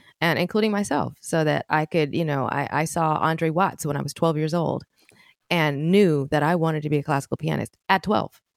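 In a plain, everyday voice with an American accent, a woman with a fairly low pitch talks at a moderate pace with ordinary pitch variation, the sound dry and close with no echo on a very clean recording with a silent background. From US West Coast, Oakland, California. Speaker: pianist and musician. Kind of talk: interview conversation.

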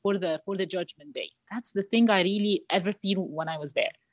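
A woman with an Arabic accent speaks at a moderate pace in a medium pitch, recorded with a dry, close sound and no echo. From Egypt, Cairo. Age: 30s. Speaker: marketing manager and youth coach. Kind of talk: interview testimony. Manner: halting, repetitive.

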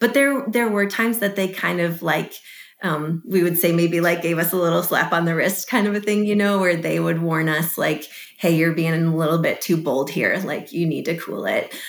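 A woman with an ordinary speaking voice and an American accent talks at a moderate pace, fairly low in pitch, with ordinary pitch variation. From Chicago area, US Midwest. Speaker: missionary. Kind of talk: interview.

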